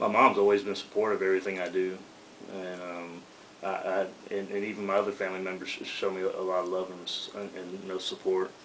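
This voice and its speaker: With an Atlanta accent, a man with a very deep, low pitch talks at a very fast pace in a monotone, flat intonation over noticeable background noise. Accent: Southern US (Atlanta). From Atlanta, US South. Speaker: rapper. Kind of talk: radio interview. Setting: radio studio. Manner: halting, repeats words.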